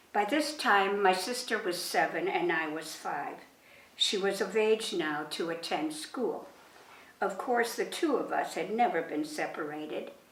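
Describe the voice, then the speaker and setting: A woman talks fairly slowly with lively intonation, her voice carrying audible room echo amid noticeable background noise. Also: medium pitch for a woman. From Germany, raised in Poland, later western Canada. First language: German and Polish. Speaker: war survivor. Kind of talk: reading aloud a prepared talk to students.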